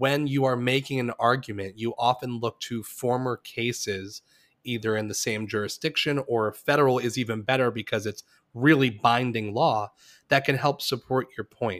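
A man speaks in an ordinary speaking voice at a medium pitch and a moderate pace, with fairly even intonation. The sound is dry and close, with no echo. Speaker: podcast host. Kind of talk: casual chat. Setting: remote recording.

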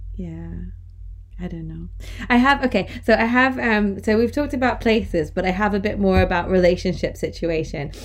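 A woman at a moderate pace with big swings in loudness and audible room echo. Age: 30s. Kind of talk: casual chat.

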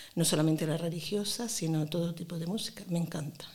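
Delivered at a very fast pace in a strong Granada accent, the speech has ordinary pitch variation over noticeable background noise. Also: woman. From Granada, Spain. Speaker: primary school teacher. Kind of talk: interview.

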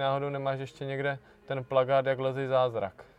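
His voice is a normal speaking voice, pitched in the middle range. The man keeps a moderate tempo. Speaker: climbing podcast host. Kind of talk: podcast outro; casual interview.

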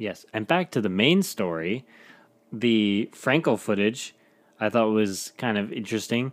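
A man with a plain, everyday voice talks fairly slowly at a fairly low pitch with ordinary pitch variation, in a very clean recording with a silent background. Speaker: podcast host. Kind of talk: casual chat.

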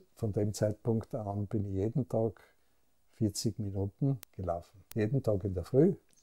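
A man's somewhat breathy, dark, mellow voice in a Styrian accent, fairly low in pitch with ordinary pitch variation, dry and close with no echo, on a very clean recording with a silent background. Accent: Austrian German, Styrian. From Austria, Graz (Styria). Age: 70s. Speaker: pharmacist and business owner. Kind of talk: interview. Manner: calm; halting.

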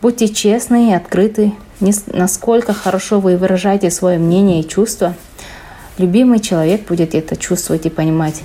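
A woman's medium-pitched voice at a moderate pace, with ordinary pitch variation, very even loudness and long, frequent pauses, over noticeable background noise. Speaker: chemistry researcher. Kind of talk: reading prepared answers.

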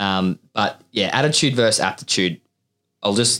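Speaking at a moderate pace, a man with a fairly low pitch uses a normal speaking voice, in a very clean recording with a silent background and a dry, close sound with no echo. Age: 20s. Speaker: recruitment podcast host. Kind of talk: casual chat.

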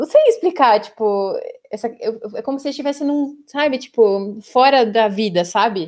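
A high-pitched woman at a moderate pace in a very clean recording with a silent background. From São Paulo, Brazil. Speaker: HR director, podcast host. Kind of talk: casual chat.

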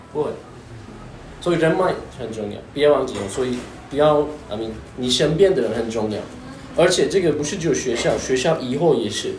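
A man at a fairly high pitch and fairly quick pace, with lively intonation, long, frequent pauses, music in the background and audible room echo. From Turkey. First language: Turkish (speaking Chinese). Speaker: podcaster and university lecturer. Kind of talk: casual interview conversation with students. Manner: halting, frequent fillers and repetitions.

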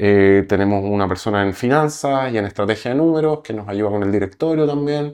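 With a normal speaking voice, a man talks in a fairly low pitch and lively intonation. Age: 40s. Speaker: entrepreneur. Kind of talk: interview.

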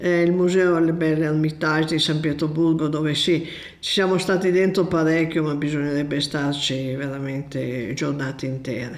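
A woman speaks with a very deep, low pitch and fairly even intonation. Audible room echo surrounds her voice. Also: moderate pace. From Piedmont, Italy (Novara area). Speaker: friend of host, traveller. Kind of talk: casual interview, travel stories.

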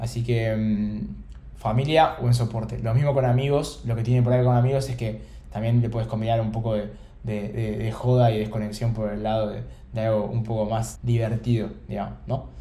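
Audible room echo around a man's medium-pitched voice, fairly even in intonation, at a moderate pace. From Argentina, Buenos Aires. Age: 20s. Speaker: startup founder. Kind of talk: interview conversation.

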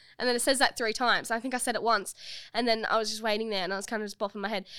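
Speaking very fast with an Australian accent, a woman uses a fairly high pitch and a bright, sharp tone with fairly even intonation. The recording is very clean, with a silent background. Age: 20s. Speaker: podcast co-host. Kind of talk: casual chat. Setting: studio.

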